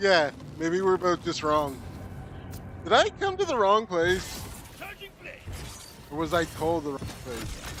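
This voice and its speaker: Loud and high-pitched, a man speaks at a fairly slow pace with ordinary pitch variation and long, frequent pauses over noticeable background noise. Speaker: gaming streamer. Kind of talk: casual chat.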